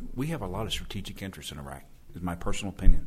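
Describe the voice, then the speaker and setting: With an American accent, a man speaks at a very deep, low pitch with lively intonation. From Oklahoma. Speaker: army officer. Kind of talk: panel discussion.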